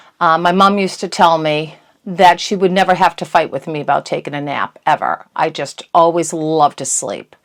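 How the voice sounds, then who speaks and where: An ordinary speaking voice moves at a moderate pace with hardly any pauses. Its intonation stays fairly even. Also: woman, fairly low pitch for a woman. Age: 60s. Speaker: YouTuber. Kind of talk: casual monologue.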